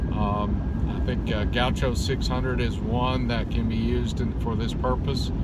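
Loud background noise fills a dry recording with no echo. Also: man. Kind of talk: casual vlog chat. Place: car. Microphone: phone near.

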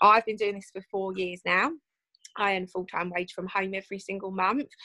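A woman's bright, sharp, warm and upbeat voice with a British accent over a quiet background. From England. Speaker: host of a network marketing presentation. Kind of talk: online business presentation hosting. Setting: video call. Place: home room. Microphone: video call.

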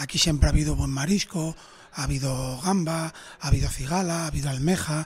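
Speaking at a fairly quick pace, a man has a fairly high pitch and fairly even intonation. Noticeable background noise can be heard. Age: 30s. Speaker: restaurant owner. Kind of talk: interview.

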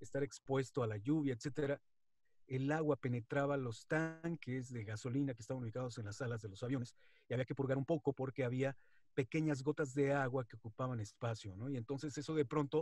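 Speaking at a fairly quick pace, a man has a medium pitch, fairly even intonation and a somewhat breathy quality. The sound is dry with no echo, over a quiet background. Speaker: wrestling announcer and radio presenter. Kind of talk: interview answer. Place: home room. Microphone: video call.

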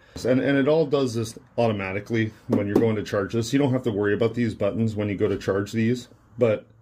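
Loud background noise accompanies a man speaking at a very fast pace. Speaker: DIY demonstrator. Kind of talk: tutorial. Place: workshop. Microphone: phone near.

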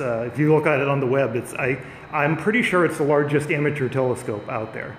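Over light background noise and audible room echo, a man talks with ordinary pitch variation. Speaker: live streamer touring observatory. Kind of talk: casual live-stream commentary. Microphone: phone near.

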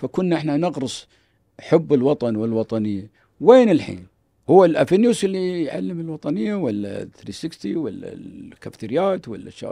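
Against a quiet background, a man with a Kuwaiti accent speaks at a moderate pace with very wide pitch swings in a dry sound with no echo. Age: old. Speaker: businessman and organization founder; podcast guest. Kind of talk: casual interview. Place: studio. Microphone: studio mic.

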